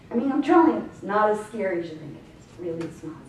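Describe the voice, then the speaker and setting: A woman talks in an animated tone with very wide pitch swings, against audible room echo and noticeable background noise. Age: 60s. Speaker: health speaker. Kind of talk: talk to an audience.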